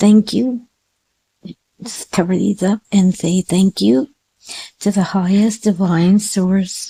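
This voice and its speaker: Speaking at a very slow pace with long, frequent pauses, a woman has a dark, mellow tone and is somewhat breathy. Her pitch varies in an ordinary way, in a dry, close sound with no echo. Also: medium pitch for a woman. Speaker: psychic reader. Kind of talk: tarot and crystal ball reading. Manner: halting.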